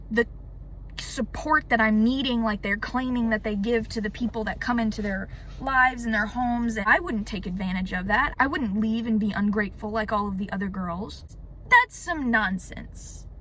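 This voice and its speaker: Background noise is noticeable as a woman talks. She keeps a moderate pace with ordinary pitch variation. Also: fairly high pitch for a woman. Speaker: YouTuber. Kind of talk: personal testimony.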